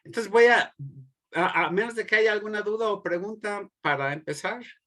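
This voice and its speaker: A bright, sharp tone moves at a moderate pace with ordinary pitch variation over a quiet background. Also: man. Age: 60s. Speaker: theology professor. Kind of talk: lecture. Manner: halting.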